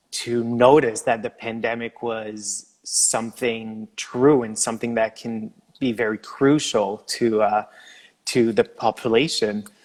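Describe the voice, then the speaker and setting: A man with a Quebec accent speaks at a medium pitch and a fairly slow pace with fairly even intonation, in a dry, close sound with no echo. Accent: French Canadian accent in English. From Quebec, Canada. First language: French. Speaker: former Olympic figure skater. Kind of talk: casual interview chat.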